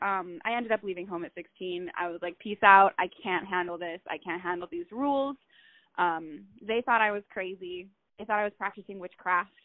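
A woman speaks at a moderate pace with an American accent, her pitch medium and its variation ordinary. She has an ordinary speaking voice. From Utah. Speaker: artist, model and actress. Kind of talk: casual interview chat.

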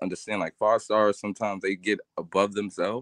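At a fairly quick pace, a man speaks in a fairly low pitch, with a dry sound with no echo and a quiet background. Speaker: sports commentator. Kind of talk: casual chat. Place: home room. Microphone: video call.

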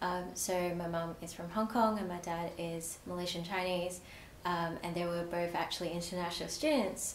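A woman's fairly low voice, monotone and flat, at a moderate pace with audible room echo and light background noise. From Australia, partly raised in Malaysia. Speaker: provisional psychologist. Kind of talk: personal story interview. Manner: frequent fillers, hesitant. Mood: warm, reflective, smiling. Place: studio.

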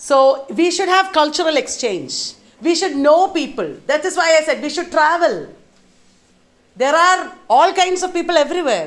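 At a moderate pace, a woman with a Keralan accent speaks in an extremely high pitch with ordinary pitch variation. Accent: Indian English (Malayali). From India, Kerala. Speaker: lecturer. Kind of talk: lecture. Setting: university workshop with live audience. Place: classroom.

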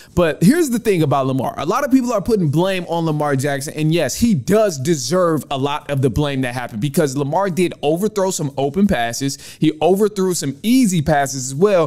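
Music plays in the background as the speaker goes at a fairly quick pace with hardly any pauses. The intonation is lively. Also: man. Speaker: podcast host. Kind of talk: sports commentary. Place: home room. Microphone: studio mic.

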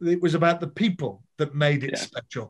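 A man's high voice at a moderate pace over a quiet background. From Birmingham, England. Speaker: former rugby player, marketing director. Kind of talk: podcast interview answer. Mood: nostalgic, proud. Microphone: video call.

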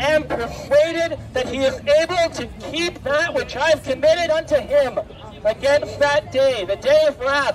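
Against crowd noise in the background, a man with an extremely high pitch speaks at a fairly slow pace with fairly even intonation. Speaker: street preacher. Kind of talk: street preaching. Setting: outdoors. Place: street. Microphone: headset.

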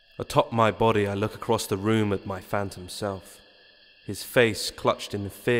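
The text is delivered in a natural reading voice.

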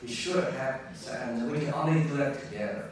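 Recorded with strong room echo and light background noise, a man speaks at a moderate pace. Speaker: keynote speaker. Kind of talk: lecture. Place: hall.

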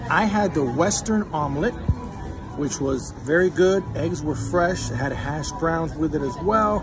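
Clear music plays behind a man who talks at a very slow pace with ordinary pitch variation. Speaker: food vlogger. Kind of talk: casual vlog chat, restaurant review. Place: cafe. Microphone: phone near.

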